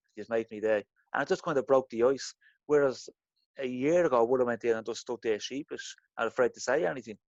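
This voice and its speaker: A man's medium-pitched voice with an Irish accent, ordinary pitch variation, and a very fast pace, in a dry, close sound with no echo. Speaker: interview guest sharing blushing experience. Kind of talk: casual interview.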